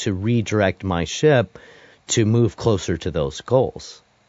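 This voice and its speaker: A man's unremarkable speaking voice at a medium pitch, fairly slow in pace, with lively intonation. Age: 40s. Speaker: podcast host and musician. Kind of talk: casual interview chat.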